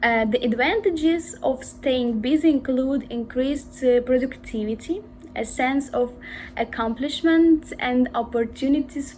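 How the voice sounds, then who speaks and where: Against noticeable background noise, a high-pitched woman speaks at a fairly slow pace with ordinary pitch variation. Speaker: IELTS exam candidate. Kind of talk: exam interview answer. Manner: hesitant, with frequent fillers.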